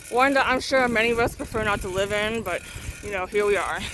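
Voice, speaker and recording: A woman keeps a moderate pace, with noticeable background noise behind her voice. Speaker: vlogger. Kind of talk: casual vlog monologue. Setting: outdoors on a tricycle.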